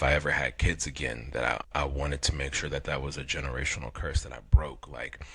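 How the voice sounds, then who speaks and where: A man with a very deep, low pitch talks at a fairly quick pace against noticeable background noise. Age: 40s. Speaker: podcast co-host. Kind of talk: casual chat. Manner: halting.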